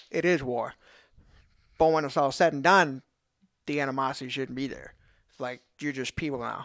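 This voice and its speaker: In a very clean recording with a silent background, a man with a Louisiana accent talks at a moderate pace and fairly high pitch, with fairly even intonation and long, frequent pauses. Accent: Louisiana Southern. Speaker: podcast co-host, strength athlete. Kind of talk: casual chat.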